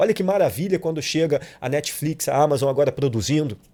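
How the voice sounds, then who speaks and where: On a very clean recording with a silent background, a man speaks at a fairly high pitch in a dark, mellow tone. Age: 40s. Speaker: actor and director. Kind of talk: casual chat. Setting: studio.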